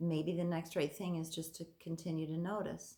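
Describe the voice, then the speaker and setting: A woman speaks at a moderate pace and fairly low pitch with fairly even intonation. Her voice has vocal fry. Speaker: therapist teaching coping skills. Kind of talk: casual tutorial video.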